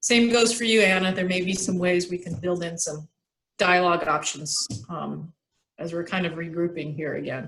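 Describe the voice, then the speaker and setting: A plain, everyday voice from a woman, pitched fairly low. She talks at a moderate pace with ordinary pitch variation. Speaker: urban refuge coordinator. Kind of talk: presentation and discussion in board meeting.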